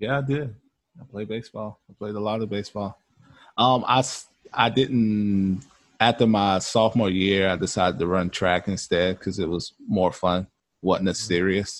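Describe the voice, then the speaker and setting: Fairly low in pitch and with fairly even intonation, a man uses a normal speaking voice at a moderate pace. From US South. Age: 30s. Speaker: podcast guest, movie fan. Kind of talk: casual chat.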